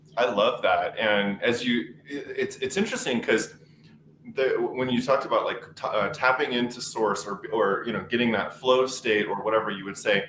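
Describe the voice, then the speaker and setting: Noticeable background noise accompanies a man who speaks at a moderate pace with an American accent. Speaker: webinar host. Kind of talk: panel discussion.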